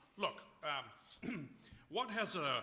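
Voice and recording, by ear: A man's put-on character voice, fairly high, bright and sharp with a slightly husky edge, very slow, with big pitch swings.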